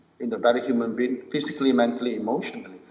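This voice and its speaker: With audible room echo around him, a man speaks at a fairly high pitch with ordinary pitch variation. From Malaysia. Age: 60s. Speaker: martial arts and mindfulness teacher. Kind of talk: podcast interview.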